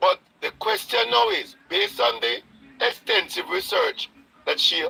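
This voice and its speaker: Speaking at a fairly slow pace, a man is heard with a dry, close sound and no echo. Noticeable background noise is present. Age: 60s. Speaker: caller. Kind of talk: call-in discussion. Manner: halting.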